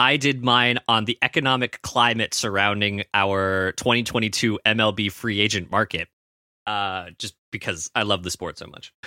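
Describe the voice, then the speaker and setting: A man with a Canadian accent speaks at a fairly low pitch and a moderate pace, with fairly even intonation, a bright, sharp tone and big swings in loudness. The recording is very clean, dry and close, with a silent background and no echo. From Canada. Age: 20s. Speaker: student sports reporter. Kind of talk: casual chat.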